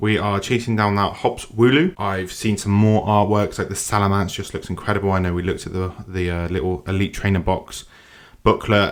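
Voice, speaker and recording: Speaking fairly quickly in an excited tone, this voice has a British accent and comes through a very clean recording with a silent background. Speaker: card pack opener. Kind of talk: casual talk to camera.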